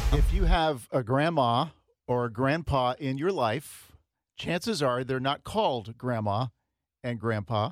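In a very clean recording with a silent background, a man with a normal speaking voice talks fairly slowly at a medium pitch, using ordinary pitch variation. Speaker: radio host. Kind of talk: casual chat.

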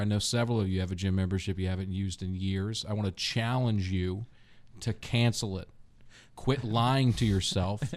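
In a very clean recording with a silent background, a plain, everyday voice speaks at a fairly quick pace with fairly even intonation. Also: man, fairly low pitch for a man. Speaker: comedian. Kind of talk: casual chat. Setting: studio.

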